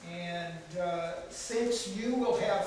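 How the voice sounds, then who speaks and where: Amid light background noise and strong room echo, a man speaks at a very slow pace with fairly even intonation. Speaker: speaker. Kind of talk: lecture. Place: hall. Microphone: camera far.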